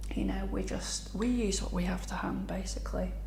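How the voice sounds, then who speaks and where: Soft-spoken talk over noticeable background noise. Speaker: herbalist. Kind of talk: soft-spoken ASMR tea ramble. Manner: soft-spoken, slow.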